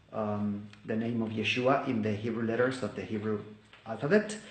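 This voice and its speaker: A man with a Spanish accent speaks at a moderate pace amid noticeable background noise and audible room echo. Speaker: English teacher and Bible study video maker. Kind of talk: personal testimony. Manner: halting, with many fillers.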